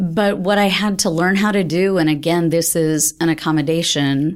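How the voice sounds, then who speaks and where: An ordinary speaking voice at a fairly slow pace, with ordinary pitch variation. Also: woman. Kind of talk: casual conversational podcast chat.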